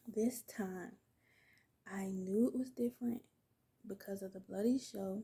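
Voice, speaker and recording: A woman speaks at a fairly slow pace in a medium pitch, her somewhat breathy voice carrying a dark, mellow tone. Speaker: vlogger, new mother. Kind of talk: casual storytime vlog. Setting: at home, baby asleep nearby. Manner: casual, chatty with fillers.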